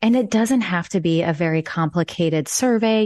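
Against a quiet background, a woman speaks at a moderate pace with a Midwestern American accent and a fairly low pitch. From Nebraska. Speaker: marketing consultant. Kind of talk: interview.

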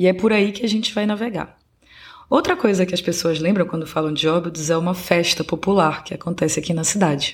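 Somewhat breathy and fairly low in pitch, a woman talks at a fairly quick pace. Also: ordinary pitch variation. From Belém, Pará, northern Brazil. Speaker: podcast host. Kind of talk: scripted narration.

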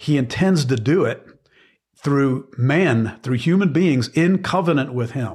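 A fairly high, somewhat breathy male voice with lively intonation at a fairly slow pace. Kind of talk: sermon-like teaching conversation. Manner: earnest, teaching.

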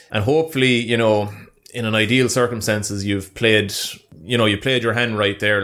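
In a Munster accent, the speech moves at a moderate pace with fairly even intonation on a very clean recording with a silent background. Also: man. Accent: Irish, Munster. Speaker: YouTuber. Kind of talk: casual banter chat. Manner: joking, bantering.

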